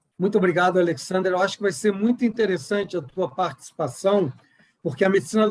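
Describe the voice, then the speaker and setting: A man speaks with a Rio de Janeiro accent. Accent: carioca. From Rio de Janeiro, Brazil. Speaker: board chairman, panel moderator. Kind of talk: moderated online panel.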